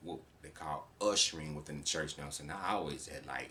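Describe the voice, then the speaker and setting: There is audible room echo. A man speaks in a very deep, low pitch. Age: 30s. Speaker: podcast host. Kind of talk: personal monologue. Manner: casual, filler-heavy.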